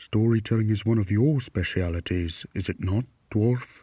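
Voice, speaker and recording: A man uses a put-on character voice with a fairly low pitch. He talks at a moderate pace. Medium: read story.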